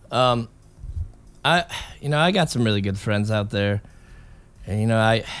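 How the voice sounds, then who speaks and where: A man is speaking. He has an American accent. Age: 30s. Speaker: podcast host. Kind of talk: casual monologue. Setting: home jam room. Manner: rambling, halting.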